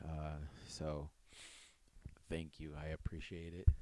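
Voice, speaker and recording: A very slow, very deep-pitched male voice, dark and mellow in tone, with monotone, flat intonation. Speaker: podcast host. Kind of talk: casual solo podcast monologue.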